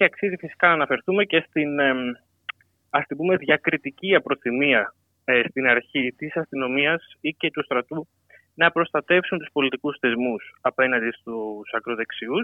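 This is a plain, everyday voice at a fairly slow pace. Its pitch varies in an ordinary way. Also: man, fairly high pitch for a man. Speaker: political science PhD candidate. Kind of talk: radio interview.

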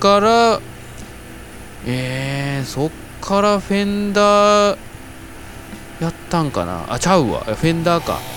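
Over noticeable background noise, a man with a high pitch and lively intonation speaks at a very slow pace with long, frequent pauses. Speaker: band member, podcast host. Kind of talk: casual chat.

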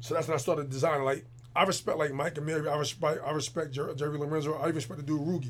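Very fast and somewhat breathy, a man speaks in a fairly high pitch with fairly even intonation. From New Jersey, Jersey City. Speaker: clothing designer. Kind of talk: casual chat.

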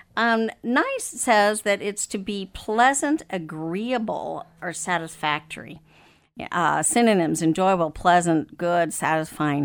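With an American accent and an ordinary speaking voice, a woman at a medium pitch talks at a fairly slow pace with lively intonation, recorded very cleanly against a silent background. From Africa, then Texas. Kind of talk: interview about marriage and counseling, casual conversation.

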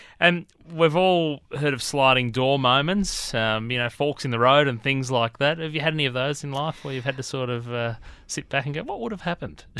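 A man with an Australian accent, bright, sharp tone, ordinary pitch variation and fairly quick pace. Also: fairly high pitch for a man. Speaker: radio host. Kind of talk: interview. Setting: studio.

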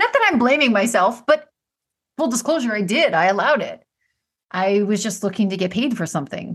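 A woman talks at a fairly quick pace. She has an ordinary speaking voice. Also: fairly high pitch for a woman. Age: 40s. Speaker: podcast host. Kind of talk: monologue.

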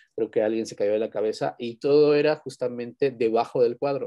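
Over a quiet background, a man with a Mexican accent speaks at a moderate pace, the sound dry and close with no echo. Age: 30s. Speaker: university lecturer. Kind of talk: interview storytelling. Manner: halting, repeats words.

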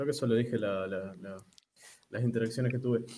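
A man talks at a medium pitch with fairly even intonation. It is an unremarkable speaking voice. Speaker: podcast co-host. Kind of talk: casual chat.

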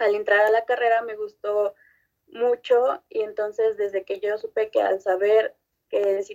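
In a fairly high pitch, a woman speaks with monotone, flat intonation at a fairly slow pace. Her sound is dry and close, with no echo. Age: 20s. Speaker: nutrition student. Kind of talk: scripted podcast presentation.

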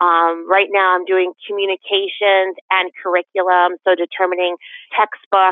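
Spoken in an American accent, the voice moves at a fairly slow pace with monotone, flat intonation and very even loudness. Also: woman, medium pitch for a woman. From Connecticut, West Hartford. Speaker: school board member. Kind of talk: interview.

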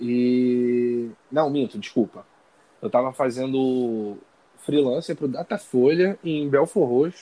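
The man's voice has a dark, mellow tone at medium pitch. He speaks at a very slow pace with ordinary pitch variation. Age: 20s. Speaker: journalism student and sports reporter. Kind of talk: interview.

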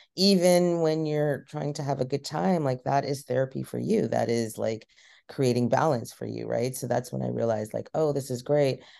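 Against a quiet background, a woman with a dark, mellow tone and vocal fry speaks at a moderate pace with lively intonation. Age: 40s. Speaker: cannabis chef and podcaster. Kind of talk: casual interview chat.

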